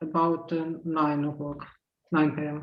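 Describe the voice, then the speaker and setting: A man speaks with a Russian accent at a fairly high pitch. His pace is very slow. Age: 40s. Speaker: transgender activist panelist. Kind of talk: casual pre-event chat. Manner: halting, many fillers. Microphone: unstable internet connection.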